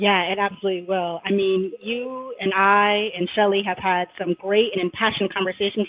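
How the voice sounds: A woman talks with a medium pitch and fairly even intonation.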